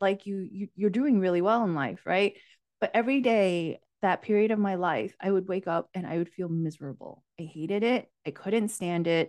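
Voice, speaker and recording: Over a quiet background, a woman talks at a moderate pace. Her pitch is medium, with ordinary pitch variation. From US, immigrated from Asia at age four. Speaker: life coach. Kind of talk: casual interview chat.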